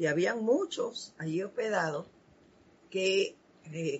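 A woman's medium-pitched voice proceeds at a fairly slow pace. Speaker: spiritual program host. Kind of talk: spiritual talk.

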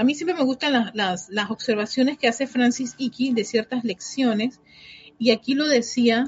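Her pitch moves with ordinary variation. The woman speaks at a high pitch. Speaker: spiritual teacher leading an online class. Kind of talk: guided meditation, slow solemn spiritual invocation; casual chat with online class. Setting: live video call streamed to online audience. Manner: slow, calm, reverent, measured; gentle, soothing, devotional.

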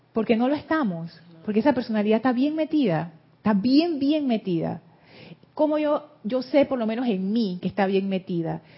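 With lively intonation, a woman talks in a somewhat breathy way. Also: fairly high pitch for a woman, moderate pace. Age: 60s. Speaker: spiritual teacher. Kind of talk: group class discussion.

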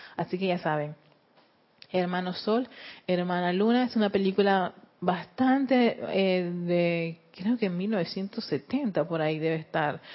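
Speaking at a very slow pace, a woman keeps a medium pitch, very even loudness and ordinary pitch variation. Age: 40s. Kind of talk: spiritual lecture. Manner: halting, frequent word repetitions; laughs often.

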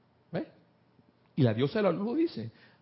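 A man is speaking. His pitch is high. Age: 50s. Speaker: spiritual study group leader. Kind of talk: spiritual class talk.

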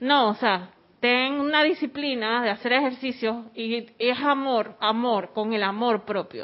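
A woman's high, shrill voice at a fairly slow pace. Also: ordinary pitch variation. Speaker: spiritual class participant. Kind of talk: group class discussion.

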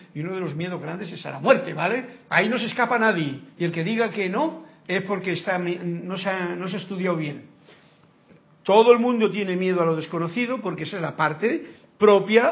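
At a fairly quick pace, a man with a high pitch and ordinary pitch variation speaks with big swings in loudness amid audible room echo. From rural area. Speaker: spiritual teacher. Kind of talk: lecture.

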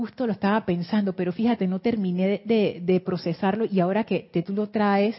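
At a medium pitch, this woman talks in a somewhat breathy voice. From Panama. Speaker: spiritual teacher and livestream host. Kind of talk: livestream class with guided meditation. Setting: YouTube livestream.

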